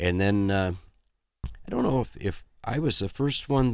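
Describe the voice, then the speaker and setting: With an American accent, a man in a plain, everyday voice talks at a fairly slow pace, his fairly low pitch carried by lively intonation. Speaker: musician. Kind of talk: casual interview. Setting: studio.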